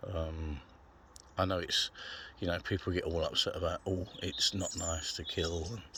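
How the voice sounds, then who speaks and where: With a very deep, low pitch and a bright, sharp tone, a man speaks at a moderate pace with fairly even intonation. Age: 60s. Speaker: carnivore diet vlogger. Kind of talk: casual vlog monologue. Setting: outdoors.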